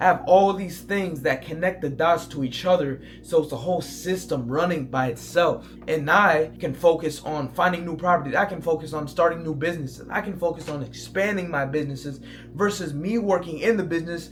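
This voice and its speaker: Over music in the background, a man at a fairly high pitch talks at a fairly quick pace with ordinary pitch variation and hardly any pauses. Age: 20s. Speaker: online entrepreneur, Airbnb host. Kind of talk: motivational talk to camera. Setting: talking to camera. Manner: aggressive, intense.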